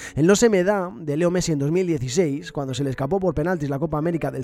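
A man with a fairly high pitch and a dark, mellow tone speaks at a fairly quick pace with ordinary pitch variation. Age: 30s. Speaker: podcaster. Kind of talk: scripted narration.

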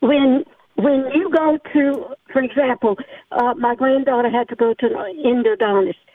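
High-pitched woman's voice, moderate pace, lively intonation. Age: 70s. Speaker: caller, retired teacher. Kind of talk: call-in opinion. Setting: phone call.

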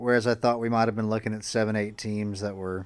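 The recording is very clean, with a silent background. A man speaks fairly low and at a fairly quick pace. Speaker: sports podcast co-host. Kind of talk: casual chat. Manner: calm.

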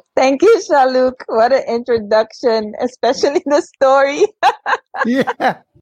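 In a Surinamese accent, a woman with a high pitch and lively intonation speaks at a fairly slow pace, her loudness very even and the sound dry and close with no echo. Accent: Surinamese Caribbean English. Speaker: former volleyball player and coach. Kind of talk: casual interview chat. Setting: live-streamed video call.

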